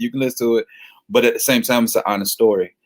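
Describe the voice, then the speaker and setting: A man talks with a Southern US accent. His pitch is medium. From Florida. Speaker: gospel singer-songwriter. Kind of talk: casual interview. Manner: casual.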